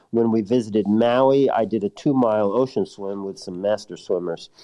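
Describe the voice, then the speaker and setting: A man's unremarkable speaking voice, fairly low in pitch, at a moderate pace with fairly even intonation. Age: 60s. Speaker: listener sending voice message. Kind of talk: recorded listener message.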